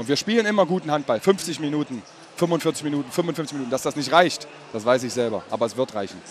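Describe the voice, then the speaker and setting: Very fast speech with lively intonation over noticeable background noise. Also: man, fairly high pitch for a man. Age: 30s. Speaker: handball player. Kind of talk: post-match interview. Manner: halting.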